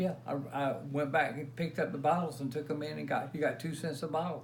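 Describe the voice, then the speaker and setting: With an American accent and a fairly high pitch, a man speaks at a fairly quick pace with fairly even intonation amid audible room echo. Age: 70s. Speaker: retired concert recording engineer. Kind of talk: casual interview. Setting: at home.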